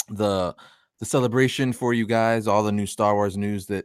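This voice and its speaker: A man with an unremarkable speaking voice talks at a fairly low pitch and moderate pace with fairly even intonation on a very clean recording with a silent background. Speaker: pop culture show host. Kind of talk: live stream commentary. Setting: studio.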